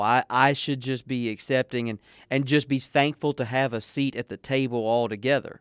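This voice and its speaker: A man with a Southern US accent and fairly even intonation, in a very clean recording with a silent background. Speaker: pastor. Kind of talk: devotional radio talk, casual chat.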